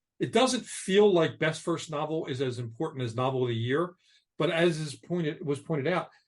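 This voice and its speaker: A somewhat breathy man with an American accent, fairly high in pitch, at a fairly quick pace with lively intonation. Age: 60s. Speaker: novelist. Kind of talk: casual chat. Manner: halting.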